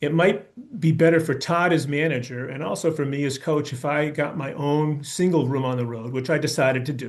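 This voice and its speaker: A man with an American accent speaks in an unremarkable speaking voice, fairly high for a man, with ordinary pitch variation at a moderate pace. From US Northeast (Brookline, Massachusetts). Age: 60s. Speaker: baseball coach. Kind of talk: presentation talk.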